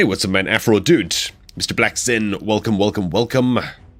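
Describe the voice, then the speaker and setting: A man's fairly low voice at a moderate pace, with music in the background. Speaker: gaming streamer. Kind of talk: live stream chat. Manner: casual, animated.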